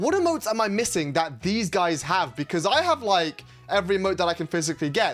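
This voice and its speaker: A very fast-talking man with a British accent. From UK. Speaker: gaming YouTuber. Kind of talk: casual gameplay commentary.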